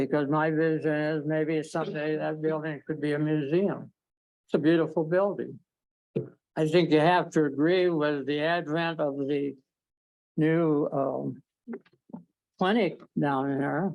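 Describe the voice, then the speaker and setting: This man speaks fairly slowly in a fairly high voice, his intonation flat and monotone, with long, frequent pauses. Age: 80s+. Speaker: business owner addressing city council. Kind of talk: public comment at council meeting. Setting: city council meeting.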